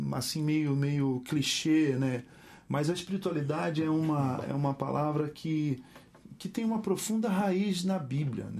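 A man's fairly high-pitched, normal speaking voice at a moderate pace, with ordinary pitch variation. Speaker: pastor and musician. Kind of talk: casual interview chat.

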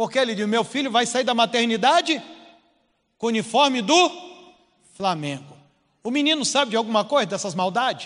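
A man with an extremely high pitch and lively intonation talks at a moderate pace. His speech has long, frequent pauses. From Rio de Janeiro, Baixada Fluminense (Duque de Caxias). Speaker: preacher. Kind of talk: sermon.

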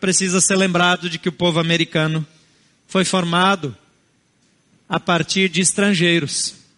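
This man's voice is high in pitch and bright and sharp in tone, with monotone, flat intonation at a moderate pace. He takes long, frequent pauses, and the sound is dry and close with no echo. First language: a non-Portuguese family language (speaking Portuguese). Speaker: pastor. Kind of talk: sermon.

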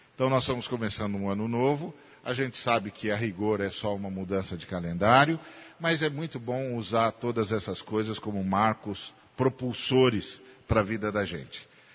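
At a moderate pace, a man with a plain, everyday voice speaks at a fairly low pitch with ordinary pitch variation. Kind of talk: sermon, expository Bible teaching in a church.

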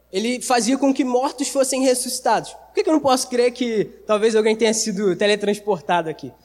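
A man's extremely high-pitched voice holds a moderate pace and shows ordinary pitch variation. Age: 20s. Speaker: youth preacher. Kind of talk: sermon. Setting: church service with audience. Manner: casual, slangy.

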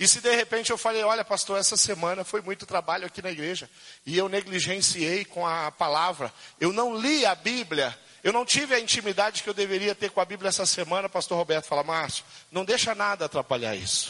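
A man's raised, projected voice at a high pitch, fairly quick, with ordinary pitch variation, amid noticeable background noise. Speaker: pastor. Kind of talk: sermon. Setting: church. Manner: halting.

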